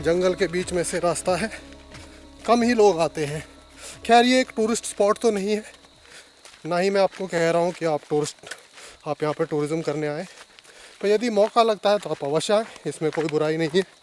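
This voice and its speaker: There is noticeable background noise behind a man with a high pitch. He leaves long, frequent pauses. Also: ordinary pitch variation, moderate pace. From Uttarakhand, India. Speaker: travel vlogger. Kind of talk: travel vlog narration. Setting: outdoors.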